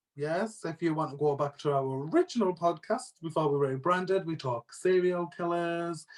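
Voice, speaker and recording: The speaker has a British accent, a moderate pace, ordinary pitch variation, and hardly any pauses. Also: man, high pitch for a man. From northeast England, Sunderland/Durham area. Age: 20s. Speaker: podcast co-host. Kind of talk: casual chat.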